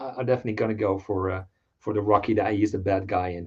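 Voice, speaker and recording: Speaking at a fairly quick pace, a man talks with a Dutch accent. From Netherlands. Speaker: toy collector. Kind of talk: casual chat.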